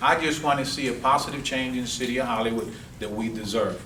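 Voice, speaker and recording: A man talks at a fairly quick pace while audible room echo and noticeable background noise surround him. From Cuba, raised in South Florida. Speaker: political candidate. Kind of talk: campaign speech. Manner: animated.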